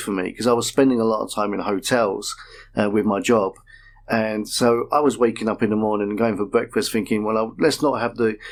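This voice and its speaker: With a Manchester accent, a man talks at a fairly quick pace in a medium pitch. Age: 50s. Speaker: patient. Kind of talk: radio interview.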